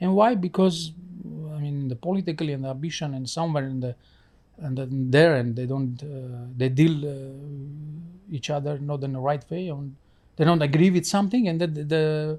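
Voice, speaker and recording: Recorded very cleanly against a silent background, a man with a fairly high pitch and a dark, mellow tone speaks somewhat breathily at a moderate pace. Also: ordinary pitch variation. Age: 40s. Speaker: actor and producer. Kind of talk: interview. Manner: halting, non-native phrasing.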